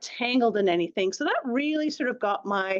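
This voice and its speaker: A woman with a Canadian accent. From Canada. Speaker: marine scientist. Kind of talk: public lecture. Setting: talk with live audience. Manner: hesitant, with fillers and restarts.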